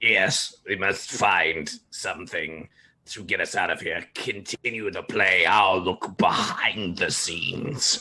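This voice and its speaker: This man's voice is a put-on character voice with a raspy edge. His delivery comes fairly slowly. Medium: actual play.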